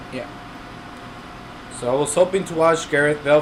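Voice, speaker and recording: A man with a non-native accent and fairly even intonation, over noticeable background noise. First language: not English. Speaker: aquarium hobby youtuber. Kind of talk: live stream chat. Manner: casual, halting with fillers.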